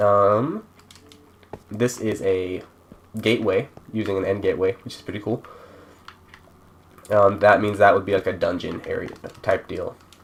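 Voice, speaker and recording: The speech moves at a moderate pace, broken by long, frequent pauses. Noticeable background noise is present. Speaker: gaming server creator. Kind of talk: tutorial. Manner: casual, halting.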